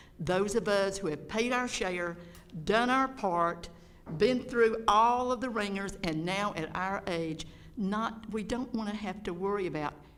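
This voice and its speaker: With a Georgia accent, a woman of medium pitch speaks at a fairly slow pace with ordinary pitch variation, amid audible room echo. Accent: Georgia Southern US. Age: 70s. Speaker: public commenter. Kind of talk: public comment at board meeting. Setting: school board meeting. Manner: unscripted, off the cuff.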